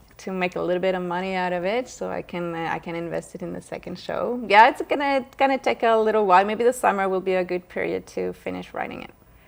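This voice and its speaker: Speaking at a very fast pace with hardly any pauses, a woman with a French accent and medium pitch shows ordinary pitch variation and big swings in loudness. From France, Paris. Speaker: actress. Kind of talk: interview. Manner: halting, many fillers.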